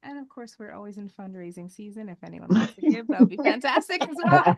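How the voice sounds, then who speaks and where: Soft-spoken, a woman with a fairly high pitch talks at a very fast pace. Her pitch swings very widely, and her loudness rises and falls sharply. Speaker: entrepreneur. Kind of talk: casual chat. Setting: studio. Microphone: too quiet at first, then moved closer.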